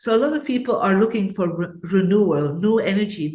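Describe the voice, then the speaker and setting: Somewhat breathy, a woman speaks at a medium pitch and a fairly slow pace with lively intonation, and audible room echo surrounds her. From Belgium. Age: 60s. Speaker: feng shui expert. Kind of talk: interview.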